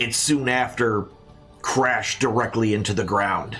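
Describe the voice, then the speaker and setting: A man puts on a raspy character voice at a medium pitch and a moderate pace. Clear music plays in the background. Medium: actual play. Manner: folksy, rambling.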